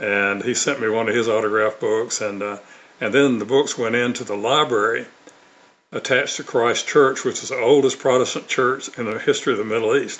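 A man with a Southern US accent talks at a fairly quick pace. His pitch sits at a medium level. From US South, Mississippi (Tupelo). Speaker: author and former narcotics officer. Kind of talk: testimony. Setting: remote video call. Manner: frequent fillers and repetitions.

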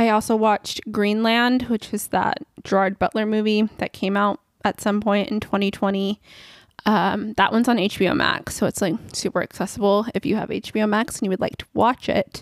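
Recorded very cleanly against a silent background, a woman speaks with fairly even intonation in a dry, close sound with no echo. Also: fairly high pitch for a woman, moderate pace. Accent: Californian. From California. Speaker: film review podcaster. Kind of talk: solo podcast monologue. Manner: casual, chatty.

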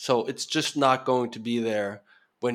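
A man talks at a moderate pace with a Norwegian accent. His pitch sits in the medium range. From Norway. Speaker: founder of investment migration publication. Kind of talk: casual interview. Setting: video call.

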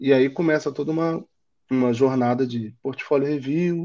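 Fairly even in intonation, a man with a Rio de Janeiro accent speaks in a dark, mellow tone. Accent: carioca. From Rio de Janeiro, Brazil. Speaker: design manager. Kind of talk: interview.

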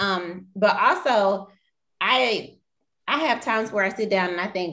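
This woman has an ordinary speaking voice, with medium pitch, ordinary pitch variation and a moderate pace. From US South, Mobile, Alabama. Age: 20s. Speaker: public health worker. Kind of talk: casual chat.

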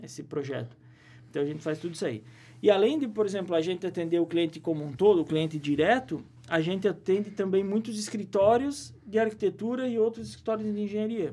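This man's voice has a high pitch and lively intonation. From Santa Catarina, Brazil (Presidente Getúlio). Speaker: civil engineer and university professor. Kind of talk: casual interview chat. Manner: hesitant, many fillers.

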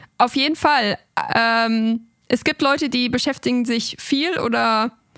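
Her high-pitched voice, a woman's, shows ordinary pitch variation. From Germany. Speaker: linguist. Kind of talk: interview.

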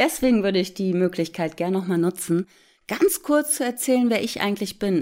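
A plain, everyday voice at a moderate pace with lively intonation. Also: woman, very clean recording, silent background. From Hamburg, northern Germany. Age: 40s. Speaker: relaxation therapist and meditation podcast host. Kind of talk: casual chat to listeners.

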